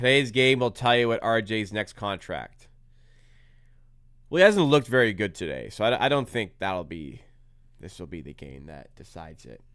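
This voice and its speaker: A man's animated tone with vocal fry, very wide pitch swings, big swings in loudness, and long, frequent pauses at a moderate pace. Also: fairly low pitch for a man. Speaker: sports YouTuber hosting a live watch-along. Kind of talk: live game reaction commentary.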